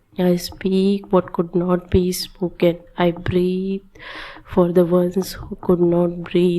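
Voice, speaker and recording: Over noticeable background noise, a woman with a fairly low pitch speaks very slowly in a monotone, flat intonation. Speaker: meditation guide. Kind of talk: guided meditation.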